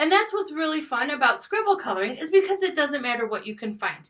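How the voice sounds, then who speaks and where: A woman's high voice with very wide pitch swings at a fairly quick pace, over noticeable background noise. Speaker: schoolteacher. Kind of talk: classroom video lesson. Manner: fast; animated.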